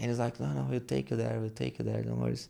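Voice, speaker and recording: A man speaks with a Brazilian accent. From Brazil, São Paulo. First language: Portuguese. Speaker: jiu-jitsu gym owner and instructor. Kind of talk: casual interview.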